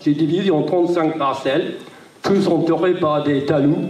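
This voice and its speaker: Amid noticeable background noise and audible room echo, a man with a British accent speaks very slowly at a high pitch with ordinary pitch variation. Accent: British accent in French, kept. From Great Britain, raised in Brittany from age seven. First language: English (speaking French). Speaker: small farmer, panel speaker. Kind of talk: panel talk. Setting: round-table with audience. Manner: halting, many hesitations.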